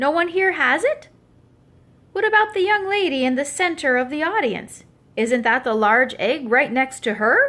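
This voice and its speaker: A woman performs a put-on character voice at a high pitch. Her pitch swings very widely. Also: moderate pace. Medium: read story. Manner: public-speaking, genial.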